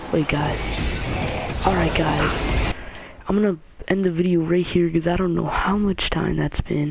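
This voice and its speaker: Noticeable noise can be heard in the background. The talking goes at a fairly slow speed. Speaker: gaming YouTuber. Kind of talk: gameplay commentary. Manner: halting; quieter than usual.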